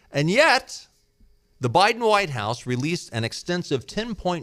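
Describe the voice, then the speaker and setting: In an American accent, a man talks at a fairly slow pace with vocal fry, a bright, sharp tone and very wide pitch swings. The recording is very clean, with a silent background. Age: 60s. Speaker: talk radio host. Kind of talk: political commentary.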